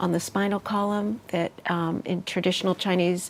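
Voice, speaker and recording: At a fairly quick pace, a woman talks in a monotone with flat intonation. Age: 60s. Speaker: healer and meditation teacher. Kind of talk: interview.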